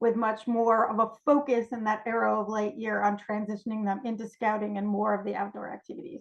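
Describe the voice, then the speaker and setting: With an American accent, this speaker talks at a fairly quick pace and keeps a fairly even intonation. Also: woman. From New York. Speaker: cubmaster and scout trainer. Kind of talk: training presentation. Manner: fast.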